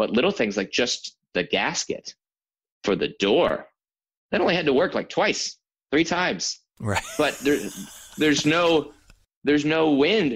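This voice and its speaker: A man speaks in an animated tone with very wide pitch swings and vocal fry. His loudness stays very even, broken by long, frequent pauses. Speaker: astronaut and former fighter pilot. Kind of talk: casual interview chat.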